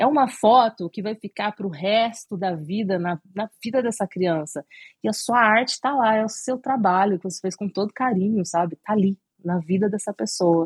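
The voice is somewhat breathy, with ordinary pitch variation at a moderate pace. The sound is dry and close, with no echo. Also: woman, medium pitch for a woman. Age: 30s. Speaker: cake designer. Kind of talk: interview.

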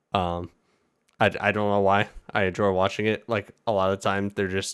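On a very clean recording with a silent background, a man speaks in a flat monotone at a fairly low pitch and a fairly quick pace. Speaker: podcast host. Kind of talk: casual chat.

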